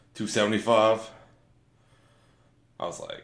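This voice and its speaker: Room echo is audible here. A man speaks at a moderate pace. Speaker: fitness vlogger. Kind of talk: workout voiceover narration. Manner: casual, halting with fillers.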